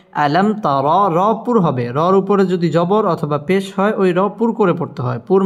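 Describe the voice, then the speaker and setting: This man's voice is pitched high. Its variation in pitch is ordinary. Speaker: Quran teacher. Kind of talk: tutorial.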